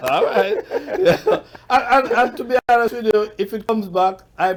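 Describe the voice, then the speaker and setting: A man is speaking. His pace is moderate. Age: 60s. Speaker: awards show founder. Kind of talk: interview.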